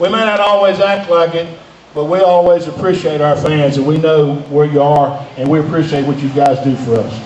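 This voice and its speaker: A man with a fairly high pitch speaks at a moderate pace with ordinary pitch variation. There is audible room echo along with noticeable background noise. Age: 50s. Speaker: retired pro wrestler. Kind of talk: speech to live crowd. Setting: arena stage with audience. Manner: halting, repeats words.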